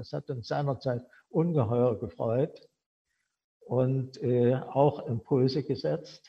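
A somewhat breathy man at medium pitch with ordinary pitch variation. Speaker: former factory director. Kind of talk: personal storytelling.

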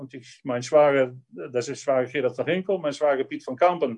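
A man with a Dutch accent speaks at a moderate pace. His tone is dark and mellow, with ordinary pitch variation. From Netherlands. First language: Dutch (speaking German). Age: 60s. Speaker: dairy farmer and politician. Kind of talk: personal life story.

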